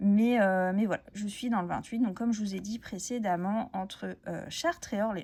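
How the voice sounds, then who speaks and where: Speaking at a moderate pace with hardly any pauses, a woman has a dark, mellow tone, a medium pitch and ordinary pitch variation. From France, Essonne countryside. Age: 30s. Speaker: crafts YouTuber. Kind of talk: casual chat. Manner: hesitant, many fillers.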